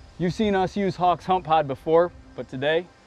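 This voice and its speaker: A man at a fairly quick pace, dry sound with no echo, faint music in the background. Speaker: outdoor TV show host presenting a product. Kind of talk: product presentation. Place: forest. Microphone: lapel.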